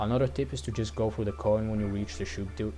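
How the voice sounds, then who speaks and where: Amid audible room echo and music in the background, a man with a fairly low pitch talks at a very fast pace. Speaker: gaming youtuber. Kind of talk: game level review. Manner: stuttering.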